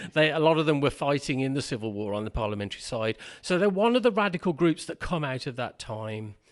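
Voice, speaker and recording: A man talks at a very fast pace in a fairly high voice, his pitch swinging very widely. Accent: Birmingham. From Birmingham, England. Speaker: Quaker tutor and writer. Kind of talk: podcast conversation. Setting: pub.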